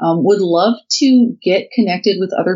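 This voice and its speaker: A woman with a Midwestern US accent at a moderate pace. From Indiana. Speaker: writer and digital marketer, libertarian chapter leader. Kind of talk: casual interview.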